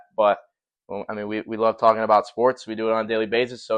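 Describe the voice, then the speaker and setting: Over a quiet background, someone with an American accent talks at a very fast pace. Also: man. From US Midwest, Cleveland area, Ohio. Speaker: podcast host. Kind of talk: casual chat.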